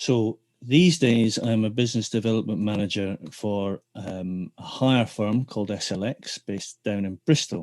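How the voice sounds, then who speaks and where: A man with a Scottish accent speaks at a fairly low pitch with ordinary pitch variation. The sound is dry and close, with no echo. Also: quiet background. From Scotland, Dundee. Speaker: theatre technician turned business development manager. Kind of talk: interview. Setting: podcast.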